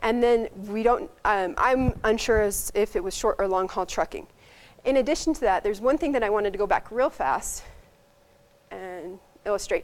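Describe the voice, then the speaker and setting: With lively intonation, a woman talks in a fairly high pitch for a woman. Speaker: medical resident presenting research. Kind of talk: conference presentation. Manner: fast.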